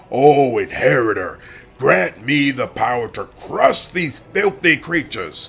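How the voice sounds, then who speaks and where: At a fairly slow pace, someone talks in a put-on character voice. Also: man, fairly high pitch for a man. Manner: yelling.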